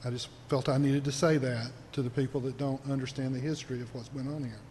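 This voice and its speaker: A man talks at a fairly quick pace with a fairly high pitch and a somewhat breathy quality. Audible room echo surrounds his voice. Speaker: city council member. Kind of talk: council meeting statement. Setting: city council chamber. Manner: formal.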